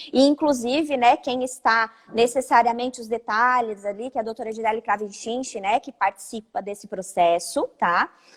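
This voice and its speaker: A normal speaking voice at a moderate pace with hardly any pauses, ordinary pitch variation and big swings in loudness, in a dry, close sound with no echo. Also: woman, fairly high pitch for a woman. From Santa Catarina, Brazil (Orleans). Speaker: lawyer, live-stream host. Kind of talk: live-stream legal discussion. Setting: live video stream from her office.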